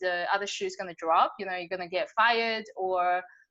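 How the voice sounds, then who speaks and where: Her tone is bright and sharp, with a slight Australian accent. The woman keeps a fairly quick pace and ordinary pitch variation. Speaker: business coach. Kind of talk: podcast interview. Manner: casual, filler-heavy.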